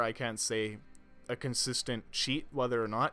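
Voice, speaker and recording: A man talks while music plays in the background. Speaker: gaming tutorial narrator. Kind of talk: casual gameplay commentary. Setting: home recording without pop filter.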